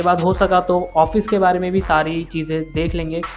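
With music playing behind him, a man speaks at a high pitch. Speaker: tech tutorial creator. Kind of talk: screen-recording tutorial narration. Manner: lower energy than usual.

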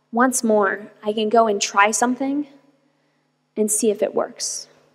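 This woman has an American accent and a fairly high pitch. She speaks at a very slow pace. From US, Arizona. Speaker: tech entrepreneur; guest. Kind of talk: keynote talk. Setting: stage with audience. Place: hall. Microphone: podium.

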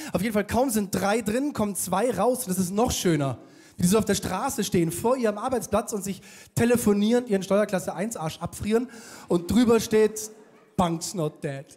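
Over a quiet background, a man talks in a high pitch at a moderate pace with ordinary pitch variation. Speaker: stand-up comedian. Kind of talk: stand-up comedy monologue. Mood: sarcastic, mocking humor. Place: stage. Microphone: handheld.

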